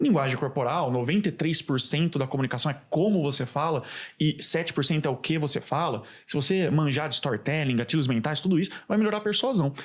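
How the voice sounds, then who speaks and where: This man speaks at a fairly quick pace in a somewhat breathy, fairly high voice, keeping his loudness very even. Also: ordinary pitch variation. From interior of São Paulo state, Campinas. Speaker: oratory teacher. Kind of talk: podcast interview. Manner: animated.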